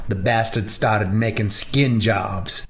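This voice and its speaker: Over light background noise, a man puts on a gruff character voice at a medium pitch. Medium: machinima. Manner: gruff, profane.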